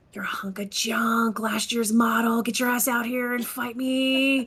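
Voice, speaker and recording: In a put-on character voice that sounds female, someone whispers and hisses menacingly at a moderate pace, with light background noise. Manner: hissed, menacing, taunting.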